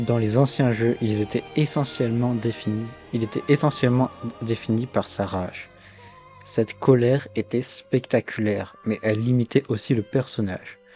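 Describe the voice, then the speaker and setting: Music plays behind a man speaking at a moderate pace, his pitch medium and his intonation fairly even. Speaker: video game commentator. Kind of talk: video essay narration. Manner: stuttering.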